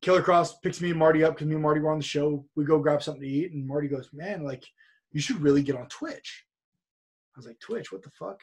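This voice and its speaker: Someone speaks at a very fast pace with a Californian accent, somewhat breathy and with ordinary pitch variation, their loudness swinging widely over a quiet background. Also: man. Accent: General American (Californian). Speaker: professional wrestler. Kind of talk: casual interview chat. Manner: storytelling, animated.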